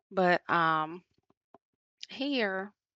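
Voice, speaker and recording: A woman with an American accent and a medium pitch. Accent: Southern US accent, comes and goes. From US South, Atlanta, Georgia. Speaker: beauty vlogger. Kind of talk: tutorial voiceover. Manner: casual, many fillers (um).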